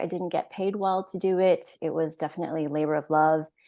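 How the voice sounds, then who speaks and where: A woman with an American accent uses a normal speaking voice at a fairly low pitch and a moderate pace. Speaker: wellness coach. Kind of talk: interview. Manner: casual with many fillers.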